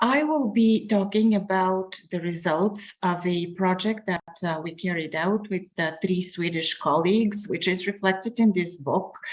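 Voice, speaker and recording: Using an unremarkable speaking voice, a woman talks at medium pitch and a fairly slow pace, with ordinary pitch variation and hardly any pauses. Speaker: professor. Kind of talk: academic presentation.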